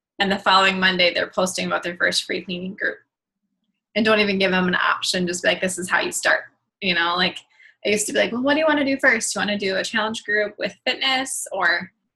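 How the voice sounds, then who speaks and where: At a very fast pace, a woman talks in a bright, sharp tone at medium pitch with ordinary pitch variation. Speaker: fitness coach. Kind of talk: video call training talk.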